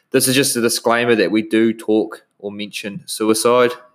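A man talks at a fairly slow pace with a New Zealand accent. His pitch sits in the middle range. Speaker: podcast host, nutritionist. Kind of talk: casual interview. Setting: video call. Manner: enthusiastic.

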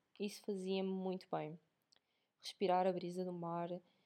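The voice has a dark, mellow tone with a European Portuguese accent. It moves along at a moderate pace. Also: woman. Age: 20s. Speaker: podcaster. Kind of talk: casual monologue. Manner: casual, chatty.

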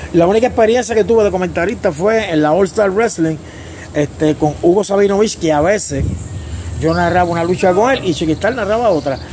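The speech moves at a fairly quick pace with very even loudness. Noticeable background noise runs underneath. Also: man, high pitch for a man, ordinary pitch variation. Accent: Puerto Rican. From Puerto Rico, Humacao area. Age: 50s. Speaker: professional wrestler and wrestling commentator. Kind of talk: interview. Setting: on location in Vieques.

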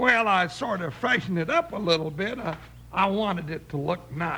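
In a put-on character voice, a man speaks at a moderate pace with a high pitch, lively intonation and a bright, sharp tone.

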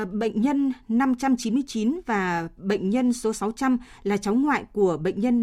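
Very slow and somewhat breathy, a woman speaks with a fairly high pitch, a dark, mellow tone and ordinary pitch variation on a very clean recording with a silent background. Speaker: radio newsreader. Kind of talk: news reading. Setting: studio. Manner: formal.

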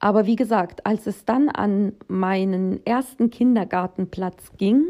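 Very slow in pace, a woman speaks at a fairly high pitch with a dark, mellow tone. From Germany, born in Russia. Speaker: podcaster. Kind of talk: personal monologue.

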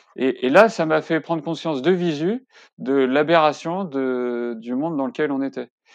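In a dry, close sound with no echo and a quiet background, a man speaks with a fairly high pitch. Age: 40s. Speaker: climate workshop facilitator and web developer. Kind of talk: interview. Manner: halting, many fillers and repetitions.

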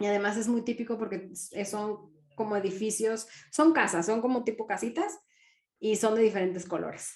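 This woman has an ordinary speaking voice at medium pitch, talking at a moderate pace with ordinary pitch variation. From Mexico. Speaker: entrepreneur, marketing consultant. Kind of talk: interview.

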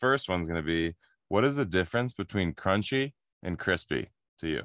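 A man speaks at a fairly quick pace with ordinary pitch variation. It is an ordinary speaking voice, in a dry, close sound with no echo. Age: 30s. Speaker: podcast host and physical therapist. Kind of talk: casual chat. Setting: video call.

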